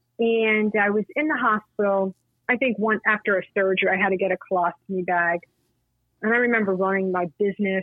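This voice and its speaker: A normal speaking voice from a woman, medium in pitch, with fairly even intonation and a fairly quick pace. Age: 50s. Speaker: patient advocate and author. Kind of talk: casual chat.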